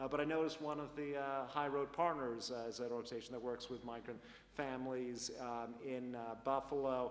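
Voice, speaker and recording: A man speaks with a slight Canadian accent at a medium pitch and a fairly quick pace, his intonation fairly even. Noticeable background noise and audible room echo fill the recording. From Canada. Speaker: university dean. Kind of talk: panel discussion. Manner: halting, many fillers.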